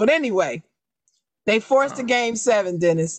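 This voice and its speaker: A woman speaks at a fairly high pitch, her voice swinging very widely up and down. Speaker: podcast co-host. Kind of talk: casual chat. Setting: video call. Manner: slow.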